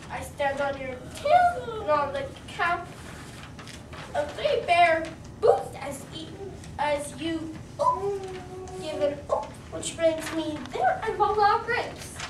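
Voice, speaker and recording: Put-on character voice at an extremely high pitch, fairly slow with long, frequent pauses, slight echo and loud background noise. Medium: read story. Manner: smug, patronizing.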